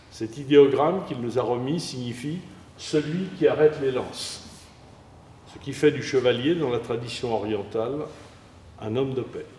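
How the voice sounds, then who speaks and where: With audible room echo, a man at medium pitch speaks at a fairly slow pace, using ordinary pitch variation and long, frequent pauses. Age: 80s+. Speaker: aikido teacher. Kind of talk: interview testimony; martial arts instruction.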